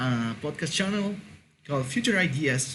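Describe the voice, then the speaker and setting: A man talks in a Mexican accent, his pitch fairly high and his pitch variation ordinary. Room echo is audible. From Mexico. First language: Spanish. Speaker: podcast host. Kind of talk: casual monologue. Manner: halting, many fillers and repetitions.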